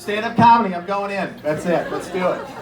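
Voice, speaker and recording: Against audible room echo and noticeable background noise, a man with an American accent talks at a fairly quick pace. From Erie, Pennsylvania. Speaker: comedian. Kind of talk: stand-up. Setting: stage with audience. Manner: fast.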